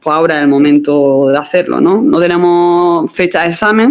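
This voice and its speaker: Speaking in a slight Andalusian accent, a woman keeps a medium pitch, ordinary pitch variation and a moderate pace. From Andalusia, southern Spain. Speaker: exam preparation teacher. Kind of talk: online class. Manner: halting.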